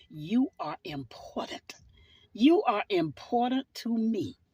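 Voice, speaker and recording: Very slowly and somewhat breathily, a woman with a Southern US accent speaks in very wide pitch swings, the sound dry and close with no echo. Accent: Southern US (Georgia). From US South. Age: 60s. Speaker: church minister. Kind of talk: sermon-style personal video message. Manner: fervent, preaching style.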